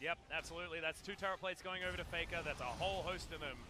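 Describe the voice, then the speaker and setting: This man talks at a very fast pace in an Australian accent, his pitch high. Music plays in the background. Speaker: esports commentator. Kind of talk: live commentary. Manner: animated.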